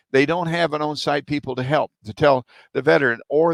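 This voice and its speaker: A man with a Texan accent and fairly high pitch talks at a very fast pace with ordinary pitch variation, the sound dry and close with no echo. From Texas. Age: 70s. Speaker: military veteran. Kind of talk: interview. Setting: podcast. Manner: halting.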